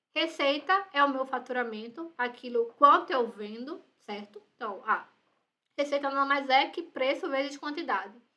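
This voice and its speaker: Raised and projected, this woman's high-pitched voice carries a bright, sharp tone. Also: ordinary pitch variation. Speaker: university lecturer. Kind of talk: lecture. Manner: fast.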